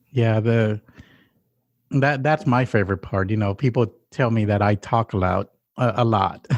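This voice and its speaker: Against a quiet background, a man with a Spanish accent speaks at a medium pitch and moderate pace, with ordinary pitch variation, long, frequent pauses, and a dry, close sound with no echo. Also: very even loudness. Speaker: podcast co-host. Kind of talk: casual chat.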